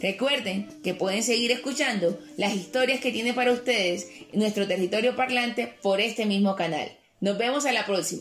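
A woman's fairly high voice at a moderate pace, with ordinary pitch variation, very even loudness, and noticeable background noise. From Cartagena, Colombian Caribbean coast. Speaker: cultural correspondent and historian. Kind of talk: radio-style interview and scripted presenting.

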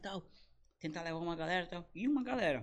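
With lively intonation, a man's voice sits high in pitch. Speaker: comedian. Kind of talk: casual chat. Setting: studio. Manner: animated.

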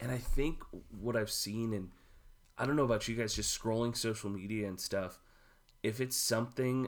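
In a plain, everyday voice, a man with an American accent speaks at a medium pitch and a moderate pace. His intonation is fairly even, and the recording is very clean with a silent background. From Houston, Texas. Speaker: pastor. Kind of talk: casual chat.

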